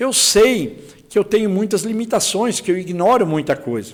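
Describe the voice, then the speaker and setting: A man's high-pitched voice with ordinary pitch variation at a fairly slow pace. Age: 60s. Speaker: politician, congressional candidate. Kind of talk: political interview. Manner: repetitive, halting with restarts.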